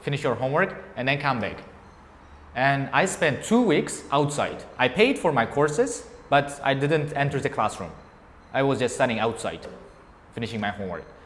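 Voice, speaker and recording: Talking with an Uzbek accent and lively intonation, a man keeps a moderate pace broken by long, frequent pauses amid noticeable background noise. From Uzbekistan, Bukhara. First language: Uzbek and Tajik. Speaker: English teacher. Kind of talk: interview before a class audience. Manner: halting.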